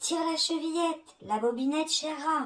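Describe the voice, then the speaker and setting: Her squeaky, put-on character voice sits extremely high for a woman. The woman talks at a moderate pace. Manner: softened, coaxing.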